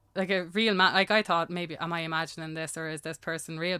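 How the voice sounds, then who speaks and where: In a very clean recording with a silent background, a woman speaks at a fairly low pitch with a bright, sharp tone and monotone, flat intonation. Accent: Irish. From Ireland. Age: 30s. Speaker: singer-songwriter. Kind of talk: casual chat.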